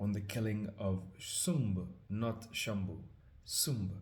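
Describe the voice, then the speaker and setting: Very slowly, a man speaks with fairly low pitch, fairly even intonation and a somewhat breathy sound. The room echo is audible. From Trinidad and Tobago. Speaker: scripture reader and musician. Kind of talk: casual introduction before reading aloud. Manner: hesitant, many fillers.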